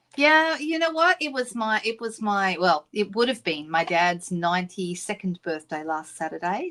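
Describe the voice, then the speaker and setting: In a very clean recording with a silent background, a woman talks with an Australian accent. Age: 60s. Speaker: craft demonstrator. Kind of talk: live-stream craft tutorial and chat. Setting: live stream at craft desk. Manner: casual, frequent filler ums.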